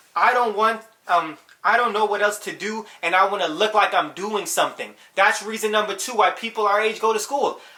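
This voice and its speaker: Over noticeable background noise, a man talks in a raised, projected, high voice with an animated tone at a fairly quick pace. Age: 20s. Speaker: youtuber giving life advice. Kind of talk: casual vlog monologue. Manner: fast.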